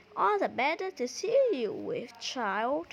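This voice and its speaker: Using a put-on character voice, a woman pitches high and swings very widely. Her pace is fairly slow. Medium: read story. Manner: sly, falsely sweet.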